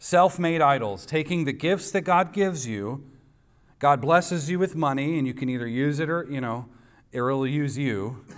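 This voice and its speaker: A man's ordinary speaking voice, fairly high in pitch, at a moderate pace with ordinary pitch variation. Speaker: pastor. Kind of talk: sermon. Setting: church.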